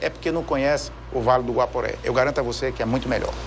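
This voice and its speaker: A man is heard speaking over noticeable background noise. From Brazil, Brasília. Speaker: audit court president. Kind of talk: TV interview.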